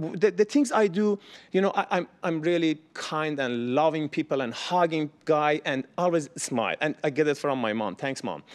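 A speaker with a Persian accent talks at a moderate pace. There are hardly any pauses. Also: man, fairly high pitch for a man, ordinary pitch variation. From Iran. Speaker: cameraman; storyteller at community event. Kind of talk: storytelling. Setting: stage with audience. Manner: halting. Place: meeting room. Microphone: lapel.

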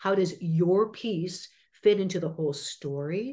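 The woman's pitch sits fairly low, with ordinary pitch variation. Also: quiet background. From US Midwest, Chicago suburbs; Illinois. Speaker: actress and acting teacher; actress, acting coach. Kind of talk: interview. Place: home room. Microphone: video call.

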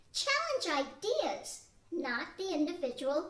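A woman speaks at an extremely high pitch. Her pace is fairly slow. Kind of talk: 1940s radio acting. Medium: audio drama. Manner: earnest, instructive.

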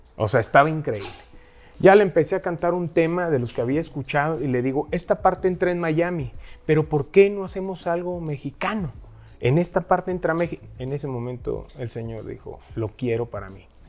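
At a fairly quick pace, a man with a fairly high pitch speaks with lively intonation and big swings in loudness. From Mexico, Huasteca region; Mexico. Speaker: singer; guest. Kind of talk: casual interview chat. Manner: animated. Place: studio.

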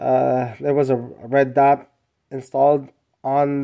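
Very slow delivery against a quiet background. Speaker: hobbyist vlogger. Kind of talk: casual product show-and-tell. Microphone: phone near.

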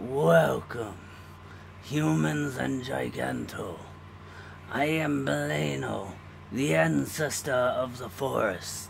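A man uses a put-on character voice with a very deep, low pitch. He speaks very slowly with long, frequent pauses, and clear background noise is audible. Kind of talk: fantasy elder speech. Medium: game stream. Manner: solemn, grave, measured.

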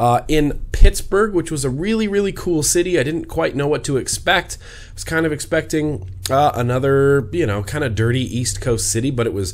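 With lively intonation, this man keeps to a moderate pace. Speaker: vape vlogger. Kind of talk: casual vlog chat. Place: home room. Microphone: studio mic.

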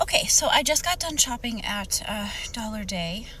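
Speaking at a fairly slow pace, a woman is recorded with a dry sound, no echo, and light background noise. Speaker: reseller vlogger. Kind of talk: casual vlog chat. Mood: mildly disappointed. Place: car. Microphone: phone near.

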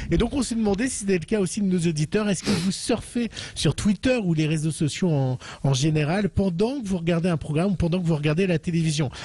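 This man's pitch is high, with ordinary variation. He moves at a fairly quick pace with very even loudness. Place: home room. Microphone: handheld.

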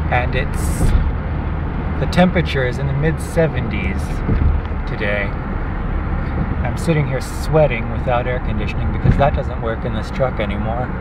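Loud background noise fills the clip. The speech has long, frequent pauses. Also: moderate pace, dry sound with no echo. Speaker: driver. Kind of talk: casual talk to camera while driving. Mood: mildly excited, amused. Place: car. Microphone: phone near.

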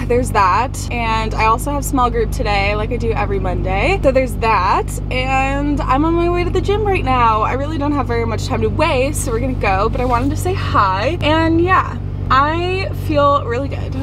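A woman speaking at a moderate pace with hardly any pauses, dry sound with no echo, noticeable background noise. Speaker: college student vlogger. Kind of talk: casual vlog chat. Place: car. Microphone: phone near.

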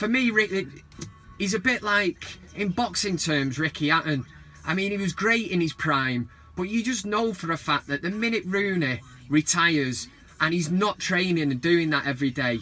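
A man's high-pitched voice with a bright, sharp tone at a moderate pace. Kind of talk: casual vlog chat. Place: car. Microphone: phone near.

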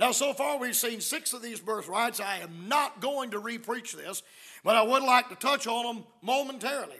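Speaking in a South Carolina accent, a man projects a raised voice with a bright, sharp tone and an extremely high pitch. His pitch varies in an ordinary way, and the background is quiet. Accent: Southern US, South Carolina. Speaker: visiting preacher. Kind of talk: sermon. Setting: church. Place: church. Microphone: podium.

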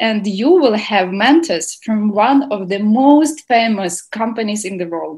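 Against a quiet background, a woman speaks somewhat breathily at a very slow pace with lively intonation. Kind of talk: welcome speech. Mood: cheerful, enthusiastic. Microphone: video call.

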